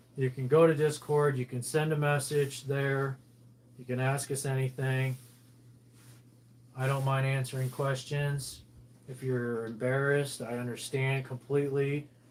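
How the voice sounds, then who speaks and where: With long, frequent pauses, a man of medium pitch talks at a fairly slow pace in a monotone, flat intonation. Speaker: livestream host, military veteran. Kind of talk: casual livestream chat while ironing. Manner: calm monotone.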